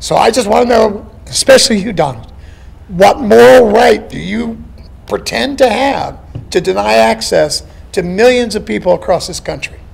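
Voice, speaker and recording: Moderate pace over noticeable background noise. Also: man. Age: 60s. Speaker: town hall audience member. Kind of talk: public question at town hall.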